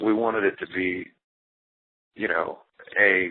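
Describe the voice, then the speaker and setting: Fairly even in intonation, a man speaks with an American accent. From US South. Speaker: rock drummer. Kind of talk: interview. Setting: phone call. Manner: casual, many fillers.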